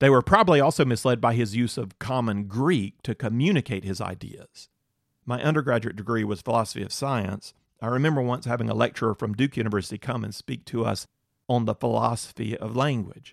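A man with an American accent speaks fairly quickly at medium pitch with vocal fry and ordinary pitch variation, on a very clean recording with a silent background and a dry, close sound with no echo. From North Carolina. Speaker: Bible teacher. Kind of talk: Bible teaching lecture.

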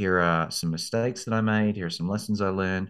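A man with an Australian accent talks at a moderate pace in a very deep, low pitch with ordinary pitch variation. The background is quiet. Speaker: law school admissions consultant. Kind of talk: interview.

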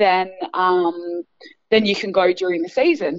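A woman talks with an Australian accent. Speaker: basketball coach and former player. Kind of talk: interview.

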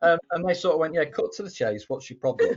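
A man talks with an English accent. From England. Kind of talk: casual chat.

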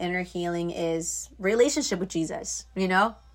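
In an American accent, a woman talks at medium pitch and a moderate pace. It is a plain, everyday voice. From Florida. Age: 20s. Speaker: youth ministry worker. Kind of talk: testimony. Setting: video call.

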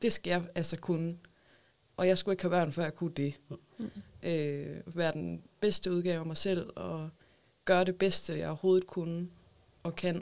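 In a plain, everyday voice, a woman speaks at a fairly slow pace in a fairly low pitch with fairly even intonation. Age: 20s. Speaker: mother with a psychiatric diagnosis. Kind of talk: casual chat. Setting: studio.

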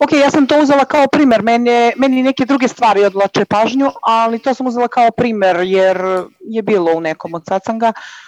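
The fairly quick speech has ordinary pitch variation and a dry, close sound with no echo, set against noticeable background noise. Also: woman, fairly high pitch for a woman. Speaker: caller. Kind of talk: call-in conversation.

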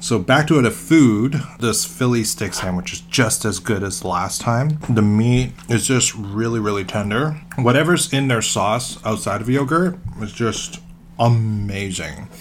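A man with a somewhat breathy voice and lively intonation talks at a fairly slow pace. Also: medium pitch for a man. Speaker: podcast co-host. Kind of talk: casual chat.

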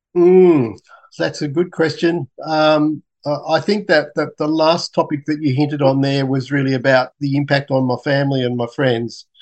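This man has an Australian accent and a fairly high pitch. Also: moderate pace. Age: 60s. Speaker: scientist and cancer patient. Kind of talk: interview. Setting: video call. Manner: halting, many fillers. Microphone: poor Zoom audio.

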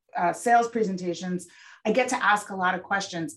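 Her intonation fairly even, a woman with an American accent and a plain, everyday voice speaks at a medium pitch. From United States. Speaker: content marketing agency owner. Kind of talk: interview.

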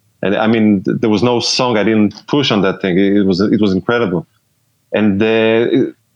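A man talks in an Israeli accent at a moderate pace. His pitch is medium. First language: Hebrew. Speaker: pedal builder and bass player. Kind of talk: casual interview. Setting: remote call.

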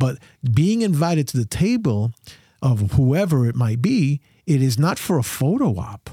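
On a very clean recording with a silent background, a man with a fairly high pitch speaks at a moderate pace, somewhat breathy, with very wide pitch swings. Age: 60s. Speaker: pastor and theologian. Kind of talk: casual chat.

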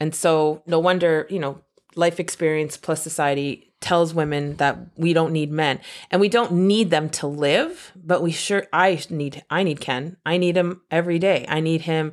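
Fairly low in pitch, a woman uses an unremarkable speaking voice at a moderate pace with fairly even intonation. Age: 40s. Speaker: podcast host. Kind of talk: casual chat.

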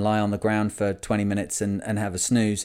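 At a fairly quick pace, a man talks in a fairly low, dark, mellow voice on a very clean recording with a silent background. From Lancashire, England. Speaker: sailing podcast host. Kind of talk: casual podcast monologue.

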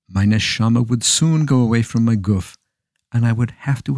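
A man's dark, mellow, medium-pitched voice at a moderate pace, with ordinary pitch variation and a dry, close sound with no echo on a very clean recording against a silent background. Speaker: storyteller. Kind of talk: dramatic narration of a historical tale, storybook style with character dialogue. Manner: dramatic, measured, expressive.

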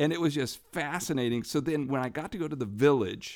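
A man speaks at a medium pitch and a moderate pace in an unremarkable speaking voice. The recording is very clean with a silent background. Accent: American. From Brazil. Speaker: missionary ministry leader. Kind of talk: interview. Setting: makeshift studio at a summit.

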